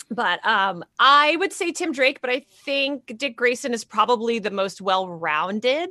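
Her voice high, bright and sharp, a woman speaks animatedly at a fairly slow pace with hardly any pauses and very wide pitch swings, the sound dry and close with no echo. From Canada. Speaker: comic writer, actor and podcast co-host. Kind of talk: casual chat. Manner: animated, laughs often.

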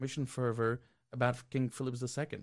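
Someone with a Belgian accent speaks over a quiet background. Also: man. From Belgium. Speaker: regular contributor. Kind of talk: casual discussion.

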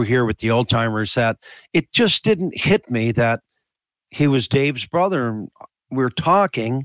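In a Newfoundland accent, a man speaks at a fairly slow pace with lively intonation, captured in a very clean recording with a silent background. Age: 70s. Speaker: retired hockey player, teacher. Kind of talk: casual chat.

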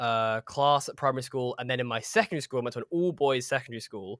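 Someone talks very fast with a southern English accent, the sound dry and close with no echo on a very clean recording with a silent background. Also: man. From southern England, Horsham. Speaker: actor and podcaster. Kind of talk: casual interview chat.

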